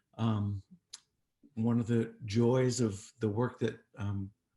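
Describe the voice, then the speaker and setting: A man speaks at a fairly low pitch in a dark, mellow, somewhat breathy tone with monotone, flat intonation. The recording is very clean, with a silent background. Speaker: president of a memorial project. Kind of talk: event host introduction.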